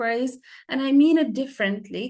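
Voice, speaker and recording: A woman talks with an Arabic accent. Her intonation is lively. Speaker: English teacher. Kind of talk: lecture. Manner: halting.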